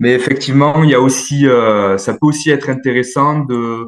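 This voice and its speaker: His medium pitch varies in an ordinary way as this man speaks. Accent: southern French. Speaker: dietitian nutritionist and sports coach. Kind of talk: workshop Q&A answer.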